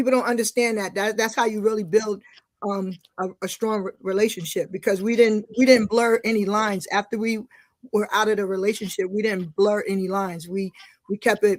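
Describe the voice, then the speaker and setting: Here a woman speaks at a moderate pace. Her pitch is fairly high and her intonation fairly even. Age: 60s. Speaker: returning podcast guest. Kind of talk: casual interview chat. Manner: halting, many repetitions and fillers.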